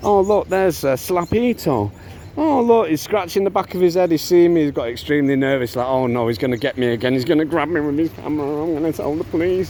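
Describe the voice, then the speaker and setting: A man talks at a very fast pace with hardly any pauses. Noticeable background noise runs underneath. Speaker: father vlogging about custody dispute. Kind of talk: casual vlog. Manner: loud and rising pitch; halting, many fillers and repeats.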